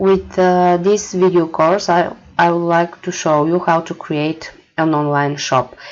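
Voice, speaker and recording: Over noticeable background noise, a woman with a non-native accent speaks at a fairly slow pace in a fairly even intonation. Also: fairly low pitch for a woman. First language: not English. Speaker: marketing manager. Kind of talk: tutorial. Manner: hesitant, many fillers.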